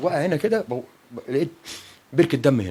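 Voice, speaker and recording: A man talking at a fairly quick pace. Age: 60s. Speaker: bereaved father. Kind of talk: interview testimony. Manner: halting.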